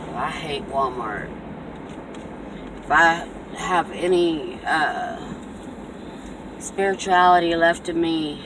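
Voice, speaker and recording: Speech at a very slow pace with long, frequent pauses comes through noticeable background noise. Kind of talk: casual vlog rant.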